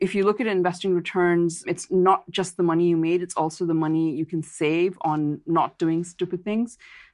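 A plain, everyday voice with an American accent speaks at a moderate pace. The intonation is fairly even, and the background is quiet. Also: woman. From India / US. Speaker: investment advisor and author. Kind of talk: interview. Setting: podcast interview.

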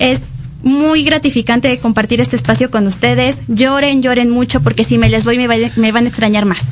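A woman talks at a moderate pace with very even loudness. Background noise is noticeable. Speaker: student podcast co-host. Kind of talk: casual political chat.

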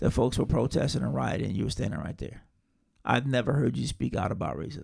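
Vocal fry runs through this man's speech. He has a medium pitch and a fairly quick pace. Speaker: podcast co-host. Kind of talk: casual banter between friends.

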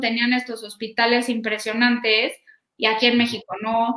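A woman's high-pitched voice, bright and sharp in tone, at a moderate pace. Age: 30s. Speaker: health startup founder. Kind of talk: interview.

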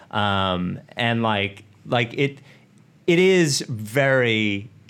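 A man speaks in a normal speaking voice, fairly low in pitch, with ordinary pitch variation and an American accent. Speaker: podcast host. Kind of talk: casual chat.

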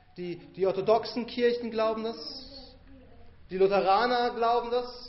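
There is noticeable background noise as a man speaks at an extremely high pitch. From Bavaria, rural. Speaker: pastor. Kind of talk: sermon.

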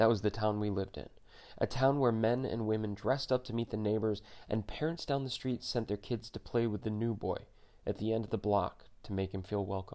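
Dark, mellow tone at a fairly quick pace, with fairly even intonation. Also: man, fairly low pitch for a man. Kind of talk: audiobook memoir narration.

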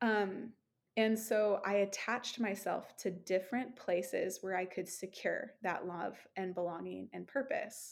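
A woman with a normal speaking voice talks at a fairly slow pace. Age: 30s. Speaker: ministry leader and founder. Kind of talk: casual chat.

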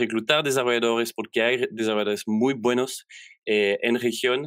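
A man at medium pitch and moderate pace, with fairly even intonation, in a very clean recording with a silent background. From Belgium. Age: 30s. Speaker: software developer. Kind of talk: interview. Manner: halting.

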